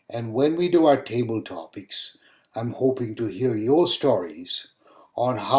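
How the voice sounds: Natural voice for reading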